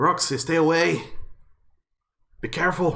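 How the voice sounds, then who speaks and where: A man's raspy, high-pitched put-on character voice at a moderate pace. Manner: warning, urgent.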